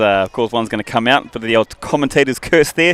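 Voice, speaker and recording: At a very fast pace, a man speaks at a medium pitch in a dry, close sound with no echo. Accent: New Zealand. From New Zealand. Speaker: rugby commentator. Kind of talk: live commentary.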